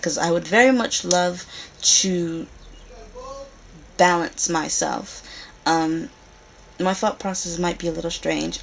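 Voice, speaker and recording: Long, frequent pauses break up a fairly slow delivery with ordinary pitch variation over noticeable background noise. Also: woman, fairly low pitch for a woman. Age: 20s. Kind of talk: casual talk to camera. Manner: hesitant, awkward.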